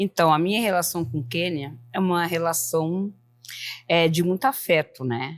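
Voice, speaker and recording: With a plain, everyday voice, a woman speaks at a fairly low pitch and a fairly slow pace, her intonation lively. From southern Brazil, Joinville, Santa Catarina. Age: 50s. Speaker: samba dancer, club member. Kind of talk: group interview.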